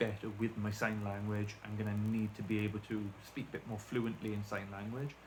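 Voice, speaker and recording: A man speaks in a strong Welsh accent at a fairly low pitch. His voice is somewhat breathy and his intonation monotone and flat. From South Wales. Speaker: deafened YouTuber. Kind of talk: casual vlog talk to camera. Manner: rambling, hesitant with fillers.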